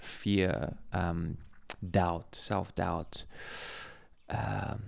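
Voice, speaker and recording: Speaking with a South African accent, a man uses a very deep, low pitch with vocal fry and lively intonation. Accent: Afrikaans South African English. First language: Afrikaans. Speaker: former reality show contestant and realtor. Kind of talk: podcast interview.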